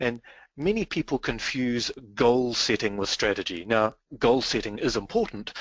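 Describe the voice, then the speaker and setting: Lively intonation from a man at a medium pitch, with a New Zealand accent. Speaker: business strategy consultant. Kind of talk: webinar presentation.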